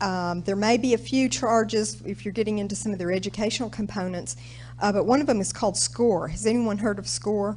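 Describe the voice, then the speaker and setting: In an American accent, a woman speaks at a fairly quick pace with audible room echo. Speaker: government small business specialist. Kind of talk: presentation to audience. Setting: stage with audience. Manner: casual, conversational.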